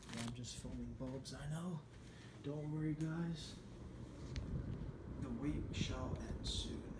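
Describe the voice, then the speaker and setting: Amid loud background noise, a man speaks at a very slow pace with long, frequent pauses. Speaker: hobbyist reviewer. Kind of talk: casual talk to camera. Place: home room. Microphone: phone near.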